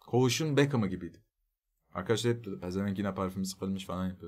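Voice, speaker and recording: A man's fairly low-pitched voice with lively intonation, against a quiet background. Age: 30s. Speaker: streamer. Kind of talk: casual chat. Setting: live stream. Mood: joking, relaxed. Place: home room.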